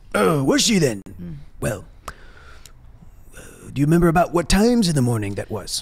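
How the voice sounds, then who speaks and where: In a put-on character voice, a man speaks at a fairly high pitch with very wide pitch swings. Long pauses come often. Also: fairly quick pace. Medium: actual play. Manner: polite, ingratiating.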